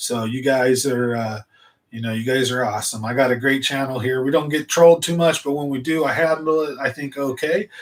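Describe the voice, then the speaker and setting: Moving at a fairly quick pace, a man with a normal speaking voice and medium pitch shows ordinary pitch variation. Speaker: fishing channel host. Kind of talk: live stream chat. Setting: home studio. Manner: casual, rambling delivery.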